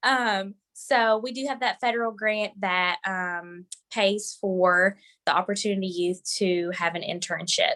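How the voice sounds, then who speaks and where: This woman's tone is bright and sharp, her pitch medium. She talks at a fairly slow pace with ordinary pitch variation. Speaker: youth workforce program staff. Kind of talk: online presentation.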